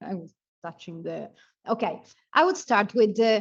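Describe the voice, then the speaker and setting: A woman's voice in an Italian accent, with ordinary pitch variation. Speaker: urban planning professor. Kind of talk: conference presentation. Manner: halting, many fillers.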